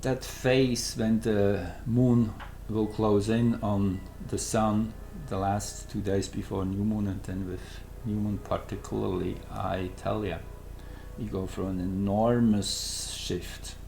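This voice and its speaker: In a room with audible echo, a man with a Swiss German accent speaks at a very slow pace. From Switzerland. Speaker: astrologer. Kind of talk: astrology presentation. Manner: halting, searching for words.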